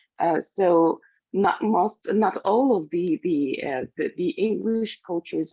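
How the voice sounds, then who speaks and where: With a non-native accent, a woman speaks fairly slowly with ordinary pitch variation. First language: not English. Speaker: class participant. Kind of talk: class feedback. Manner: halting, many fillers.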